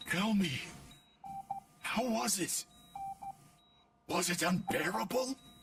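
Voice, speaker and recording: Putting on a character voice, a man talks high-pitched and fairly slowly, with lively intonation and long, frequent pauses. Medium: video game.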